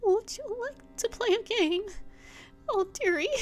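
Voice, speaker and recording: A woman's squeaky put-on character voice, extremely high in pitch, at a fairly slow pace. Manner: sweet, playful, sing-song.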